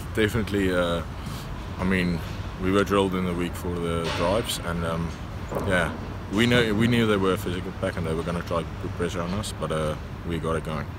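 Heard in a dry sound with no echo, a man talks at a fairly quick pace over noticeable background noise. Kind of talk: interview answer. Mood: content but self-critical. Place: stadium. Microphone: phone near.

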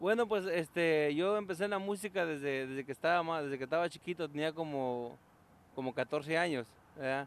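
Recorded dry with no echo, a man talks at a moderate pace with ordinary pitch variation. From Guanajuato, Mexico. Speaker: songwriter and musician. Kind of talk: TV interview. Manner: halting, many fillers. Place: garden. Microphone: handheld.

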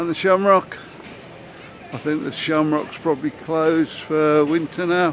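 A man with a West Midlands accent speaks at a fairly slow pace with fairly even intonation and long, frequent pauses. Light background noise sits under a dry sound with no echo. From English Midlands (Redditch); English Midlands. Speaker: travel vlogger. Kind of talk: walking tour vlog. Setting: outdoors, walking streets. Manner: casual, meandering. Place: street. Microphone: phone near.

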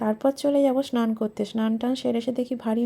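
High in pitch, a woman's voice has a dark, mellow tone and monotone, flat intonation. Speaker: lifestyle vlogger and homemaker. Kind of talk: vlog narration.

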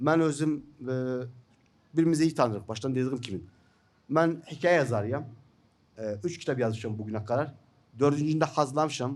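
A man with an Iraqi accent, fairly high in pitch, with long, frequent pauses. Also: ordinary pitch variation, moderate pace. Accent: Iraqi Turkmen Turkish. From northern Iraq (Turkmen). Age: 50s. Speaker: journalist and writer; journalist. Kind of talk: seminar talk. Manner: halting, many fillers. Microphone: podium.

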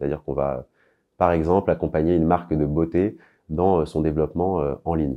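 Against a quiet background, a man with a very deep, low pitch speaks at a fairly quick pace with ordinary pitch variation. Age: 20s. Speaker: e-commerce consultant. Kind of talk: employer branding interview monologue. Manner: formal. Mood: calm, composed, professional. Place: office. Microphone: lapel.

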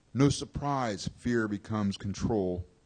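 Very slowly, a man speaks in a fairly low pitch. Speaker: poet. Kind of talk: poetry reading at open mic. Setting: stage with audience. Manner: hesitant between poems, filler-heavy. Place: cafe. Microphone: podium.

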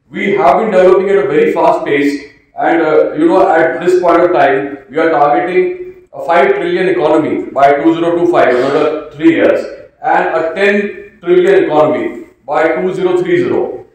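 A man's voice at a moderate pace in strong room echo, with a quiet background. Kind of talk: formal speech. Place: hall. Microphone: podium.

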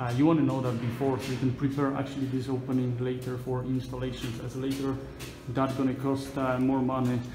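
Over music in the background, a man speaks with monotone, flat intonation. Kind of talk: walking tour commentary. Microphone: phone near.

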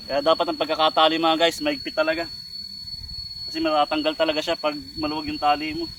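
Amid noticeable background noise, a man with a fairly high pitch speaks at a very fast pace in a flat monotone, broken by long, frequent pauses. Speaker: vlogger. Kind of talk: outdoor vlog narration. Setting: outdoors in a forest. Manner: casual, repetitive filler.

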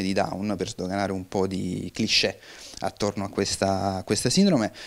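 A man is speaking. His pace is moderate. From Sicily (Giarre, near Catania); Sicily. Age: 20s. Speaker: film director and screenwriter. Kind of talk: interview. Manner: hesitant, many fillers and repetitions. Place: studio. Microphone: handheld.

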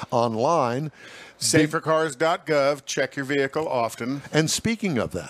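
Here a man speaks at a fairly slow pace. His pitch varies in an ordinary way. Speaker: radio show host. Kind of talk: talk show commentary. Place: studio. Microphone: headset.

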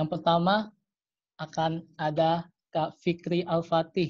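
Against a quiet background, a man talks in a monotone, flat intonation, the sound dry with no echo. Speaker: online seminar host. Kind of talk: hosting greetings and speaker introduction. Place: home room. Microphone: video call.

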